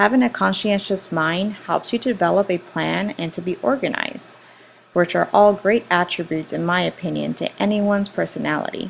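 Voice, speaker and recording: Against noticeable background noise, a woman speaks at a fairly quick pace with a Spanish accent. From Puerto Rico. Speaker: school director. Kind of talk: student presentation. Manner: formal.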